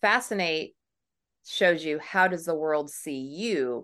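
A woman with an American accent speaks at a fairly low pitch in an unremarkable speaking voice. Her pitch varies in an ordinary way over a quiet background. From southern California, then Tennessee. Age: 40s. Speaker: brand consultant. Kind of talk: podcast interview.

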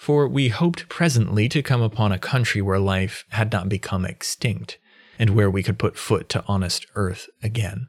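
The recording is very clean, with a silent background. A man's fairly low, somewhat breathy voice moves at a moderate pace with ordinary pitch variation. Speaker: audiobook narrator. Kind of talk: literary audiobook reading, archaic first-person sea narrative. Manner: measured, formal, storytelling pace with hushed suspense; intro is casual and friendly.

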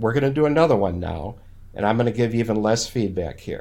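A man with an Upper Midwest accent speaks with ordinary pitch variation. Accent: Upper Midwest American. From Minnesota. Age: 60s. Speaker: landscape photographer and retired professor. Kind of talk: casual interview.

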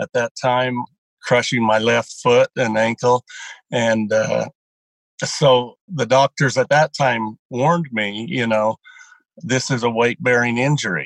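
A normal speaking voice goes at a fairly slow pace with ordinary pitch variation, in a dry, close recording with no echo. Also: man, medium pitch for a man. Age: 60s. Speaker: dairy farmer and draft horse racer. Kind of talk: interview about weight loss.

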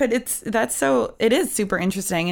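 On a very clean recording with a silent background, a woman speaks at a moderate pace in a fairly high pitch. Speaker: podcast host. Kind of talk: casual chat. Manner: joking, playful.

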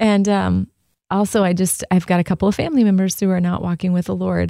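A woman's dark, mellow tone at a fairly quick pace, dry and close with no echo. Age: 50s. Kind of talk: casual chat.

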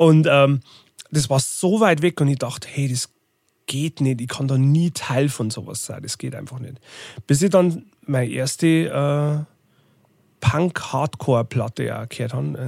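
A man speaks at a fairly slow pace with ordinary pitch variation, pausing often and at length. The sound is dry and close with no echo, and the recording is very clean with a silent background. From Bavarian Forest, Lower Bavaria. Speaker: tour manager and record label owner. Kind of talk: casual interview.

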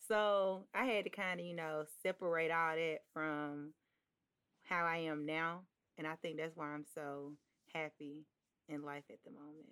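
In a very clean recording with a silent background, a woman with an Alabama accent speaks at a very deep, low pitch and a fairly slow pace. Her intonation is fairly even, her loudness swings widely, and she takes long, frequent pauses. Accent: Southern US (Alabama). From Birmingham, Alabama, US South. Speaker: model. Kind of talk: casual chat.

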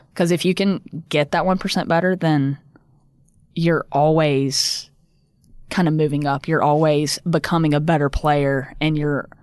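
A woman with a Southern US accent speaks at a very deep, low pitch and a fairly slow pace. Her loudness stays very even, her intonation is fairly even, and the background is quiet. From US South, upstate South Carolina. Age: 20s. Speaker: professional golfer. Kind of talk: casual interview.

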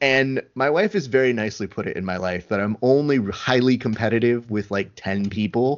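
A man with a medium pitch and an unremarkable speaking voice talks at a moderate pace with ordinary pitch variation and hardly any pauses. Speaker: podcast host. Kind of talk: casual interview chat. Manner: joking, sarcastic.

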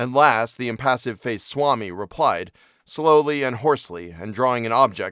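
The speaker does plain reading aloud, and the pitch varies in an ordinary way.

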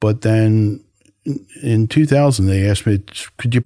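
A man's dark, mellow voice, fairly low in pitch, with lively intonation, a moderate pace and a dry, close sound with no echo. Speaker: health service counsellor. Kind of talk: casual interview chat.

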